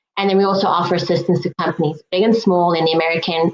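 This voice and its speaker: A woman with a South African accent talks at a very fast pace. Her pitch is medium and her intonation fairly even. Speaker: regulatory affairs consultant, presenter. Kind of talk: webinar presentation.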